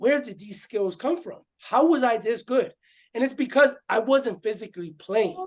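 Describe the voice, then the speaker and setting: A slight Spanish accent, lively intonation and a moderate pace. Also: man, extremely high pitch for a man. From Puerto Rico. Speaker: former boxer and growth coach. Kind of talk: interview.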